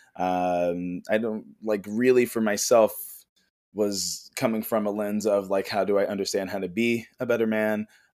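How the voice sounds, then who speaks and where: A man speaks with an American accent at a fairly low pitch and a moderate pace. His monotone, flat intonation comes through on a very clean recording with a silent background. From Chicago, Illinois. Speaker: men's mental health coach and Reiki healer. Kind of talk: casual interview chat. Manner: relaxed, smooth.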